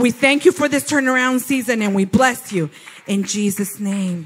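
A man with a high-pitched voice talks while noticeable background noise carries on behind him. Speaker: preacher. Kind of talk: sermon, personal and conversational teaching.

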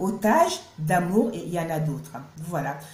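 A woman talks with lively intonation. Audible room echo surrounds her voice. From Cameroon. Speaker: YouTuber. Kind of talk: vlog narration. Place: home room. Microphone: phone near.

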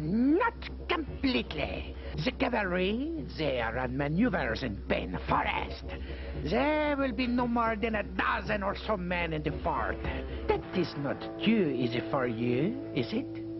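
With loud background noise around him, a man speaks at a fairly slow pace. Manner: grandiose, cruel.

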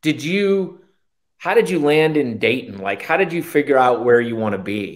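With very wide pitch swings and a fairly high pitch, a man speaks at a moderate pace in an American accent against a quiet background. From Massachusetts. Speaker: real estate agent, YouTube host; YouTube host. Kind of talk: casual interview. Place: office. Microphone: webcam.

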